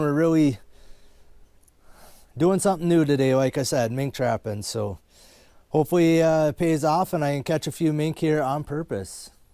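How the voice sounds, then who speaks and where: In a very clean recording with a silent background, a man with an Upper Midwest US accent talks fairly quickly at a fairly high pitch, with a dark, mellow tone and ordinary pitch variation. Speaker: trapper. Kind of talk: casual vlog narration. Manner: fast; casual, filler-heavy.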